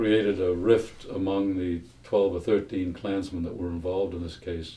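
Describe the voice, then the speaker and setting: With an American accent, a man speaks at a moderate pace in a very deep, low pitch, somewhat breathy, with a dark, mellow tone, monotone, flat intonation and audible room echo. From Massachusetts. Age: 80s+. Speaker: retired FBI agent. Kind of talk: interview testimony. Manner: halting, many fillers.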